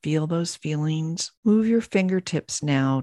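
A woman speaks at a fairly slow pace in a calm, soothing tone, with a dry, close sound and no echo. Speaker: podcast host and business coach. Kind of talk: guided meditation. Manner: slow, calm, soothing.

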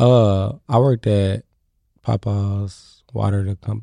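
With an American accent, a man speaks in a dark, mellow, fairly low voice with fairly even intonation, the sound dry and close with no echo and the recording very clean, its background silent. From Kansas City, Missouri. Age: 20s. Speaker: comedian. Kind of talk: casual chat.

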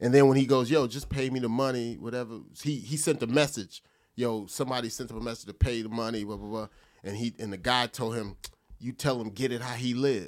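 An ordinary speaking voice, a man with an American accent talks at medium pitch and a fairly quick pace, his intonation fairly even and his loudness swinging widely. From New Jersey. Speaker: comedian and podcast host. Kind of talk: casual chat.

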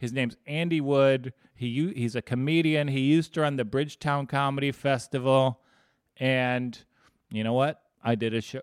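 At a fairly quick pace, a man talks at a medium pitch with fairly even intonation. The recording is very clean and dry, with a silent background and a close sound with no echo. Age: 30s. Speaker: sports betting podcast host. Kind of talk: casual chat.

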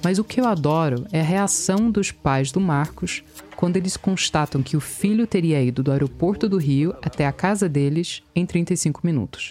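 A woman's fairly low voice at a moderate pace, with very even loudness, ordinary pitch variation, hardly any pauses, and noticeable background noise. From US, Virginia. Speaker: podcast reporter. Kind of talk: scripted narration.

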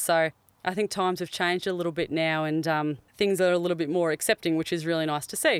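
Over a silent background in a very clean recording, a woman with an Australian accent talks very fast at a fairly low pitch. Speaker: former jockey. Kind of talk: casual chat. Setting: podcast van.

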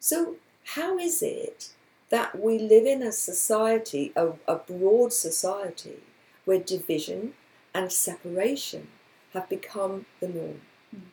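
With long, frequent pauses and a very slow pace, a woman speaks in a somewhat breathy, fairly high voice with a dark, mellow tone and very wide pitch swings. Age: 60s. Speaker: radio host and life coach author. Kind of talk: casual chat. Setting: radio studio.

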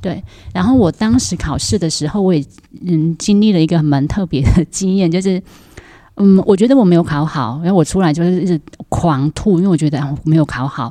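A woman speaks in a normal speaking voice, fairly low in pitch. Her pace is fairly quick and her intonation lively. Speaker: school principal. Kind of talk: casual chat.

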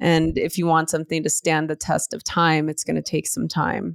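On a very clean recording with a silent background and a dry, close sound with no echo, a woman speaks at a fairly low pitch in a monotone, flat intonation. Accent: American. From US West Coast, East Los Angeles. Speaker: yoga and meditation teacher, author. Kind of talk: casual interview.

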